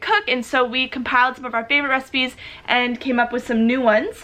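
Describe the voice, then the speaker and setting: A woman talks at a very fast pace in a high pitch, her voice raised and projected. Noticeable background noise runs underneath. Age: 30s. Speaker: YouTuber. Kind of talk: casual chat. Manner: animated.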